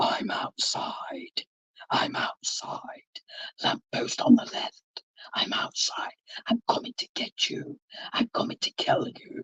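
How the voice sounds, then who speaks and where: Raspy and extremely high in pitch, the put-on character voice moves at a fairly slow pace with long, frequent pauses. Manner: menacing.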